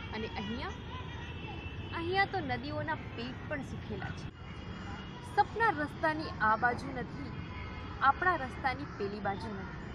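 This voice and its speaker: A woman speaks with a dry sound and no echo while music plays in the background. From Junagadh district, Gujarat, India. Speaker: actress. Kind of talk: poetry reading. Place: open country.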